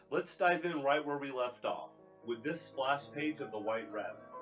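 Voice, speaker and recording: Music in the background behind a man's fairly high-pitched voice. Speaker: comic reviewer. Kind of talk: comic book review narration.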